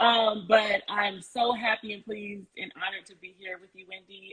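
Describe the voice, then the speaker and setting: The speaker is a woman with a medium pitch. She talks at a moderate speed. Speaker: criminal justice worker. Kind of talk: personal testimony. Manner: quiet.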